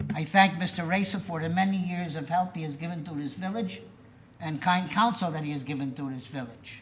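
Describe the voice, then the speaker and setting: Amid noticeable background noise and audible room echo, a man talks at a fairly quick pace in a high pitch with ordinary pitch variation. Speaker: resident speaking at public comment. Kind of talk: public comment at village board meeting. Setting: village board meeting.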